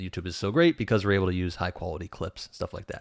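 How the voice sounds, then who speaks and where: A man's voice, very clean recording with a silent background, dry and close with no echo. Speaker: YouTuber. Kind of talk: tutorial. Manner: fast; casual.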